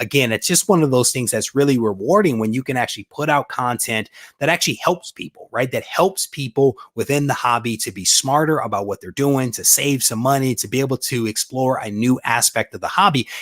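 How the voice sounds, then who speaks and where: A man with a Detroit accent talks in an animated tone at medium pitch and a fairly quick pace, hardly pausing, on a very clean, silent recording with dry, close sound and no echo. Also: ordinary pitch variation. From US Midwest, Detroit. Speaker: comic book collector and YouTuber. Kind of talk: live stream chat.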